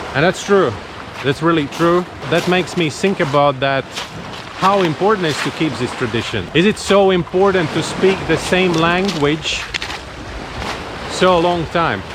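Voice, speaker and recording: A man with a Latvian accent talks at a moderate pace with a high pitch and ordinary pitch variation. He pauses long and often, and background noise is noticeable. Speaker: travel vlogger. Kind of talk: casual vlog monologue.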